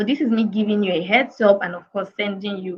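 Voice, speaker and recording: A woman speaks at a fairly quick pace. Her medium-pitched voice is somewhat breathy. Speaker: career coach. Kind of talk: webinar talk. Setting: online video session.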